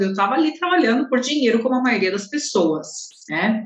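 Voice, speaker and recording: A woman talks with lively intonation. Noticeable background noise and audible room echo are present. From Guarulhos, São Paulo, Brazil. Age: 30s. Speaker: holistic therapist. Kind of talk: casual interview.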